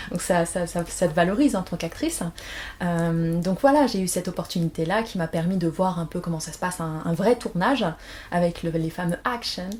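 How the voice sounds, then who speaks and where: Her somewhat breathy voice sits fairly low for a woman, moving at a fairly quick pace with ordinary pitch variation. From France. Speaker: aspiring actress, former pharmacist. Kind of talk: interview. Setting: at home. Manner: hesitant, many fillers.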